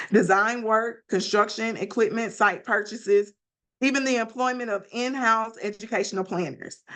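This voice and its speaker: At a moderate pace, a woman with a Mississippi accent speaks in a fairly high pitch with ordinary pitch variation against a quiet background. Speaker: class presenter on school finance. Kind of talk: academic presentation. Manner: occasional stumbles and self-corrections.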